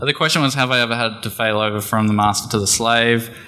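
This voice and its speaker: A man with an Australian accent and a fairly low pitch is heard with audible room echo and noticeable background noise. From Australia (Geelong, Victoria). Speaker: conference speaker, startup developer. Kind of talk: conference talk; Q&A answer. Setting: stage with audience. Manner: fast.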